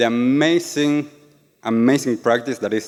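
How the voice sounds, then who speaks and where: A man speaks with an Argentine accent. His pace is fairly slow, with ordinary pitch variation. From Argentina. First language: Spanish. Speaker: yoga and meditation teacher. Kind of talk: talk to a live audience. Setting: stage with audience.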